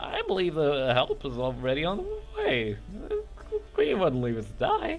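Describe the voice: A man performs a put-on character voice at a moderate pace. Background noise is clearly heard.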